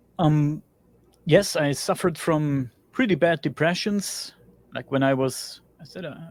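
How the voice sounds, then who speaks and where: In a very clean recording with a silent background, a man with a German accent speaks at a fairly slow pace and a fairly high pitch. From Germany. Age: 40s. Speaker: interview guest, builder and podcaster. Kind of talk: personal testimony in interview.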